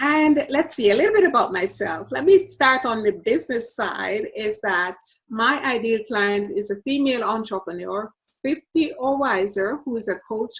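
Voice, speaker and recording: This woman has a high pitch and lively intonation. She speaks at a moderate pace in a Jamaican accent. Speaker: business coach. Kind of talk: podcast interview.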